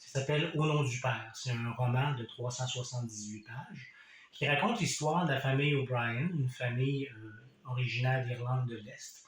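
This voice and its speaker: In a Quebec accent, a man speaks at medium pitch and a moderate pace with ordinary pitch variation and audible room echo. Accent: Québécois. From Quebec, Compton (Eastern Townships). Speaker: author. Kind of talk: casual book presentation. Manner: hesitant, many fillers.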